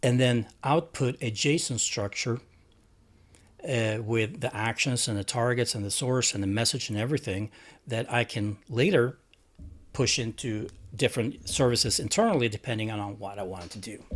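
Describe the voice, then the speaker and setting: Speaking with a Swedish accent, a man uses a medium pitch and ordinary pitch variation at a moderate pace. The recording is very clean with a silent background. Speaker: tech hobbyist vlogger. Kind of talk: tutorial. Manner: halting.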